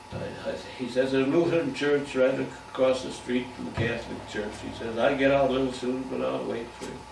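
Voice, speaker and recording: Talk at an average speed over clearly audible background noise. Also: man. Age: 80s+. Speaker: retired barber. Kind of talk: life story told to family. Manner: rambling, halting.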